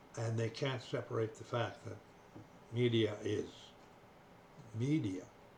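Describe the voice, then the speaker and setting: Noticeable background noise accompanies a man with a Canadian accent at a medium pitch. He speaks at a fairly slow pace with fairly even intonation and long, frequent pauses. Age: 80s+. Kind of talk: casual monologue to camera. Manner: slow, hesitant.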